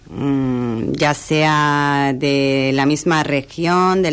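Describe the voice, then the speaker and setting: With an Italian accent, a woman speaks at a very deep, low pitch with ordinary pitch variation. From Italy (Milan). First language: Italian (speaking Spanish). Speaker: hotel director. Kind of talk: radio interview. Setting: radio studio.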